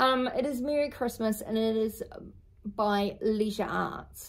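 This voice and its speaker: A woman speaks with a New Zealand accent at a fairly high pitch. Her pitch variation is ordinary. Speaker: craft vlogger. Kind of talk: casual show-and-tell video.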